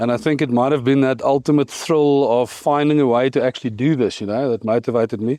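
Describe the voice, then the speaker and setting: A man with a South African accent talks at a very fast pace with hardly any pauses, very even loudness, fairly even intonation and a dark, mellow tone over a quiet background. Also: medium pitch for a man, dry, close sound with no echo. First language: Afrikaans. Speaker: cannabis business founder. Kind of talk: podcast interview.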